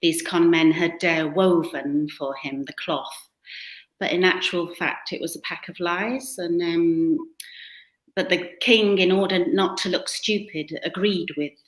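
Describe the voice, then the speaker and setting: A woman with a British accent, fairly low-pitched and fairly slow, with ordinary pitch variation and big swings in loudness. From western England, near the Welsh border. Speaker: author and photographer. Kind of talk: interview conversation. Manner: hesitant, many fillers.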